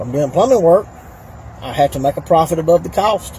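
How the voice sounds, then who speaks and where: Speaking in a Southern US accent, a man moves at a very fast pace. Noticeable background noise can be heard. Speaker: plumber and political candidate. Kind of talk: casual talk to camera.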